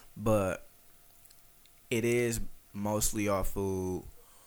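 A man speaks in a fairly low voice with an American accent. Room echo is audible. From Detroit, east side. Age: 20s. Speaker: food critic content creator. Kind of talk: casual chat.

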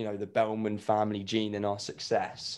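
A man with a London accent speaks at a fairly low pitch with monotone, flat intonation. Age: 20s. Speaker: grief podcaster. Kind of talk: casual interview.

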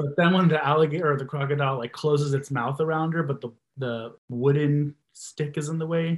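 Fairly high-pitched and somewhat breathy, a man talks at a fairly quick pace with fairly even intonation and hardly any pauses. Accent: American. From Texas. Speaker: podcast listener and supporter. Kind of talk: casual chat.

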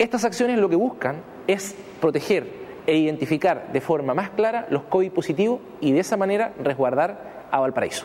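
Noticeable background noise underlies speech delivered at a moderate pace. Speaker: municipal official. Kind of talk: prepared announcement. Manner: formal.

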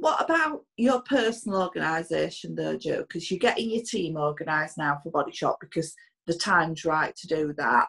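A woman with a Yorkshire accent speaks at a fairly quick pace. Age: 50s. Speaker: podcast host, business owner. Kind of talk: casual chat. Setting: remote recording.

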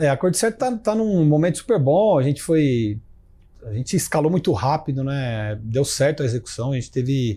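A man speaks at a moderate pace with a dark, mellow tone, a fairly high pitch, very wide pitch swings and a somewhat breathy quality. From Brazil, Ribeirão Preto (São Paulo state). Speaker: tech entrepreneur and CEO. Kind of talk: interview.

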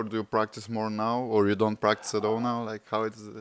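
A man with a Bulgarian accent, speaking at a moderate pace. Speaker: podcast host. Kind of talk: interview; scripted outro. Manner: casual.

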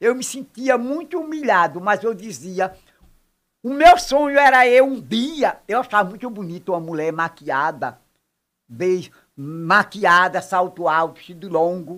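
A woman talks with very wide pitch swings and big swings in loudness. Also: medium pitch for a woman, fairly slow pace. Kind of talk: casual interview.

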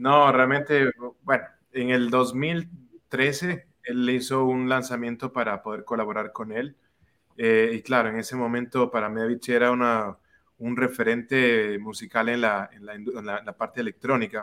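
On a very clean recording with a silent background, a man of medium pitch speaks fairly slowly in a bright, sharp tone, with big swings in loudness. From Quito, Ecuador. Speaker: music producer and artist. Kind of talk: casual interview. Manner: halting, repeats words.

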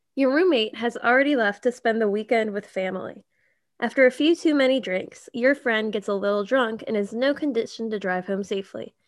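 A woman talks fairly quickly in a plain, everyday voice. Her pitch is fairly high with ordinary variation, and the background is quiet. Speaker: podcast host. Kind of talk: casual chat. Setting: video call.

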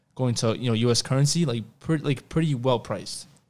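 A man with an American accent talks at a very fast pace, at medium pitch with ordinary pitch variation. The recording is very clean, with a silent background. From New York (Queens). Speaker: podcast host. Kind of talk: casual interview chat.

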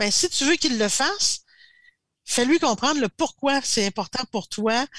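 In a Quebec accent, a woman is heard on a very clean recording with a silent background, the sound dry and close with no echo. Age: 60s. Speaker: strategic planning coach. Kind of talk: casual interview.

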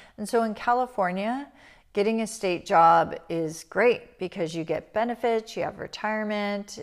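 A woman with an ordinary speaking voice at a moderate pace, ordinary pitch variation, in a very clean recording with a silent background. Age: 50s. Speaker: spiritual teacher and podcast host. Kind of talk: personal storytelling monologue. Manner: soft, reflective with frequent fillers.

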